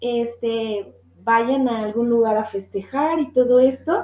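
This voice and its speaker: A woman speaks with a Guadalajara accent. Her pace is fairly slow. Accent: Mexican Spanish (Guadalajara). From Mexico, Guadalajara. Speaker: podcast host. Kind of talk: casual monologue. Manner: laughs often.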